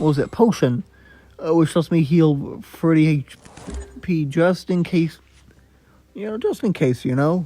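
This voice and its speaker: There is music in the background as a man speaks at a fairly high pitch. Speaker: gaming YouTuber. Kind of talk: gameplay commentary. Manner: halting.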